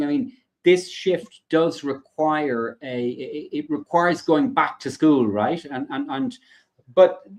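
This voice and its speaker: The man's voice sits at a high pitch. It makes very wide pitch swings. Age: 50s. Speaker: podcast host. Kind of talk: interview conversation. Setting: live stream. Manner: halting, many repetitions.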